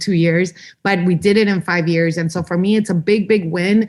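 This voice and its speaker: Fairly quick and fairly even in intonation, a woman talks in a normal speaking voice. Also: quiet background. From Los Angeles, California. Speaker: state legislator. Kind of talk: interview. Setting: podcast.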